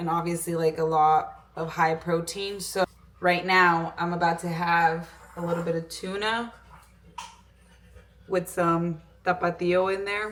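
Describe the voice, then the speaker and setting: Noticeable background noise sits behind the voice. The delivery is monotone and flat, broken by long, frequent pauses. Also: woman, fairly low pitch for a woman. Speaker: fitness vlogger. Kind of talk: casual vlog talk. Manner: casual, filler-heavy; code-switching between English and Spanish.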